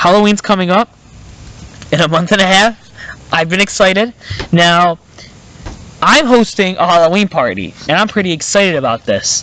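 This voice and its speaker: At a moderate pace, a man uses a raised, projected voice pitched high, with ordinary pitch variation and long, frequent pauses. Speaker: podcast host. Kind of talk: casual chat. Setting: outdoors in the woods. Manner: halting, filler-heavy.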